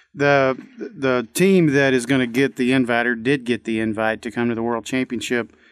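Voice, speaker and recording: Fairly even intonation from a man at a moderate pace, dry with no echo and a quiet background. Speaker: radio guest. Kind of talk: radio interview chat. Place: studio. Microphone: studio mic.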